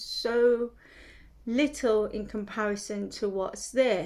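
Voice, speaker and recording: With a British accent, a woman speaks in a fairly high pitch. Her intonation is monotone and flat. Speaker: lifestyle vlogger. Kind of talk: casual talk to camera. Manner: hesitant, many fillers.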